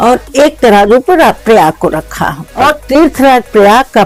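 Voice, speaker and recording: A woman's voice with music in the background. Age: 70s. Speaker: pilgrim who has done kalpvas for years. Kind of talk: interview answer.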